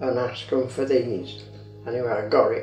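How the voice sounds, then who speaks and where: A man speaks at a moderate pace with audible room echo. Faint music plays in the background. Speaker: grandfather. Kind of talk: interview answer. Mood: amused, reminiscing. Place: home room.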